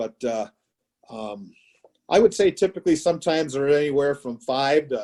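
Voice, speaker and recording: In a Wisconsin accent, this man speaks with a fairly high pitch. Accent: Upper Midwest (Wisconsin). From Wisconsin, small town. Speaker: high school baseball coach. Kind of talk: casual interview. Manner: loud.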